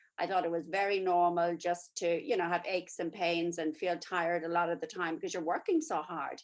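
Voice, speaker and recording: A woman's fairly low-pitched voice, monotone and flat, at a fairly quick pace with hardly any pauses. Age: 60s. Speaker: nurse and network marketer. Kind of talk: testimony.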